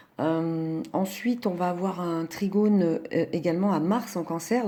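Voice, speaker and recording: Over a silent background in a very clean recording, a woman speaks in a dark, mellow tone. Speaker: astrologer. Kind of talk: astrology talk. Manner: hesitant, many fillers.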